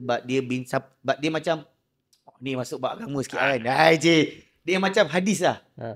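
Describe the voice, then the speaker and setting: Moderately paced, a man talks at a fairly high pitch with ordinary pitch variation. His loudness swings widely. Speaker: podcast host. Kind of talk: casual chat.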